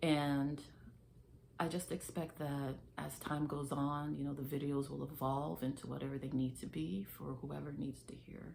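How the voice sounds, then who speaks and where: In a space with audible room echo, a woman speaks with a very deep, low pitch and fairly even intonation. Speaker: faith vlogger. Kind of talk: casual faith talk to camera. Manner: slow; hesitant, filler words.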